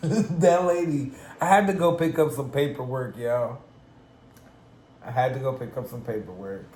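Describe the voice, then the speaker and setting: A man with a fairly high pitch talks at a moderate pace, with lively intonation and big swings in loudness. Long, frequent pauses break up his speech, and audible room echo is present. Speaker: cooking vlogger. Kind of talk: casual chat.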